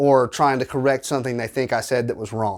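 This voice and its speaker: A medium-pitched man with a Southern US accent and fairly even intonation, in a very clean recording with a silent background. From US South. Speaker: small YouTuber, tabletop game content creator. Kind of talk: casual advice monologue to camera.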